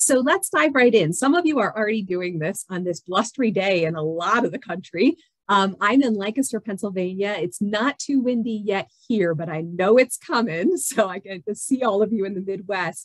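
A woman's lively intonation at a moderate pace, hardly any pauses, against a quiet background. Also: dry sound with no echo. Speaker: university retention executive. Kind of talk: webinar presentation. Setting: video call. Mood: warm, enthusiastic. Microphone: video call.

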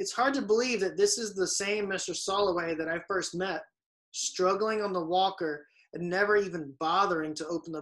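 The background stays quiet. Reading aloud in a natural voice, the speaker shows ordinary pitch variation.

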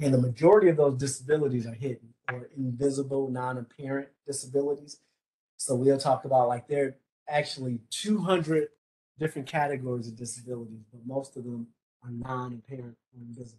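Somewhat breathy and dark, mellow in tone, the voice moves at a fairly quick pace with fairly even intonation and big swings in loudness. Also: man. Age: 50s. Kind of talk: training lecture. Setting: video call from office. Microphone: video call.

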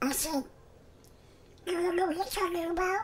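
Extremely high pitch at a moderate pace, with clear background noise. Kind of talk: parody of a film thriller scene.

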